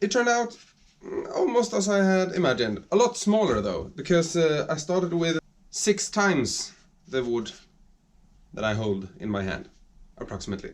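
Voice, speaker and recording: A man with a Swedish accent speaks at a high pitch with very wide pitch swings and a moderate pace. Long pauses come often, and background noise is noticeable. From Sweden. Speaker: woodworking hobbyist YouTuber. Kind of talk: workshop video narration. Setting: home workshop. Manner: halting, searching for words.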